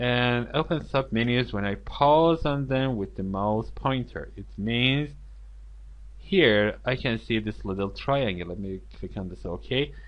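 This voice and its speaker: A man with a non-native accent and a medium pitch. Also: ordinary pitch variation. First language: not English. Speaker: software tutorial instructor. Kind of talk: screen-recorded tutorial. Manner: halting, many fillers.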